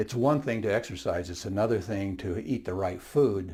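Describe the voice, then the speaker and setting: Audible room echo surrounds a man whose somewhat breathy, dark and mellow voice moves with lively intonation. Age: 70s. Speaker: fitness channel host, retiree sharing his experience. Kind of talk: casual talk to camera. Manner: halting, many fillers.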